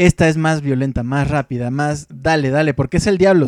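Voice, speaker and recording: A man speaks fairly quickly in a plain, everyday voice, his pitch fairly high and varying in an ordinary way. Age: 30s. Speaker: radio host. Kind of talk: casual chat.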